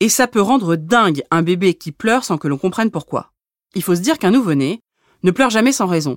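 With very wide pitch swings, a woman speaks at a moderate pace in a very clean recording with a silent background and a dry, close sound with no echo. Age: 30s. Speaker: midwife and podcast host. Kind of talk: scripted narration.

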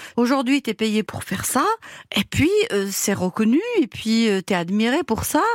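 Dry and close with no echo, a woman's fairly high voice moves at a moderate pace through very wide pitch swings. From Algeria, Algiers area, Kabyle family. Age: 50s. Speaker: caterer. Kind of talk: personal testimony. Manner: energetic; hesitant fillers.

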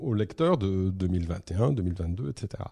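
Dark, mellow tone in a very clean recording with a silent background, the sound dry and close with no echo. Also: man. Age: 50s. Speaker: comic book writer. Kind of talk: interview.

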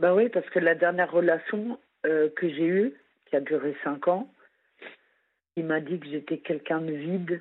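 Fairly low female voice at a fairly slow pace, ordinary pitch variation, big swings in loudness and long, frequent pauses. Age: 40s. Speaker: social worker, caller. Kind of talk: phone-in confession. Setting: phone call from work.

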